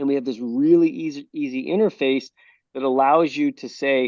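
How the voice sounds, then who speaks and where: This is an ordinary speaking voice. A man talks at a moderate pace and medium pitch. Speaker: golf technology founder. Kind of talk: interview answer.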